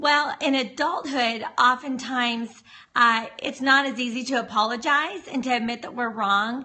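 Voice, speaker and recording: A woman talks loudly at a high pitch, keeping a moderate pace and ordinary pitch variation. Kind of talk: livestream talk. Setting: live video stream. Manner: talking as loud as possible.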